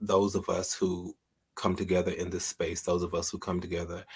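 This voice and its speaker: Speaking at a moderate pace, a man with a very deep, low pitch and a somewhat breathy voice is heard in a very clean recording with a silent background. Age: 50s. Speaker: livestream host and author. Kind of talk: casual livestream talk; reading aloud. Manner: warm and conversational.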